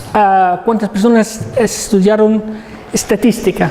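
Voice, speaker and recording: Against noticeable background noise, a high-pitched man with a non-native accent talks very slowly in a monotone, flat delivery. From Egypt. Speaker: professor. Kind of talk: lecture. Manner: halting, many repetitions.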